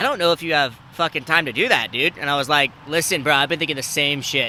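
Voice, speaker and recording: The speech moves at a fairly quick pace, and the intonation stays fairly even. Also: man. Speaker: podcast host. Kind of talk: casual chat. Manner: loud.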